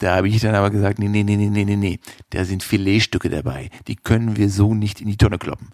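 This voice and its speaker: A man's fairly low voice at a fairly quick pace, with a dry, close sound and no echo. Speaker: podcast sound technician. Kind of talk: spoken intro announcement.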